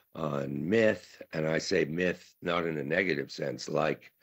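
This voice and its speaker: A man's very deep, low voice carries vocal fry. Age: 70s. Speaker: conference speaker, writer. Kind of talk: conference talk. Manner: halting, many fillers.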